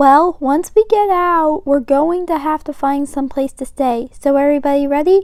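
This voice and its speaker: Using a put-on character voice, a woman speaks at a moderate pace in a high pitch with hardly any pauses. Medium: read story.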